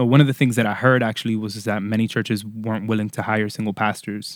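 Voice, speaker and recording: On a very clean recording with a silent background, a man with an American accent speaks in a normal speaking voice at medium pitch with fairly even intonation. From Florida. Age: 30s. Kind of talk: casual chat.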